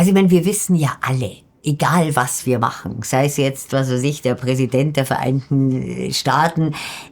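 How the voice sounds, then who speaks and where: With very even loudness, a woman with a very deep, low pitch talks at a moderate pace with ordinary pitch variation. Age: 50s. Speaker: mountaineer and journalist. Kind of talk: interview.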